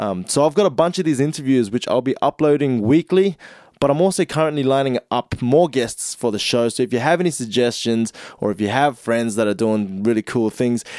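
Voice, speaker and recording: In a very clean recording with a silent background and a dry, close sound with no echo, a man speaks at a medium pitch in a normal speaking voice. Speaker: podcast host. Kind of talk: casual interview chat. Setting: studio. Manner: casual, slangy, upbeat.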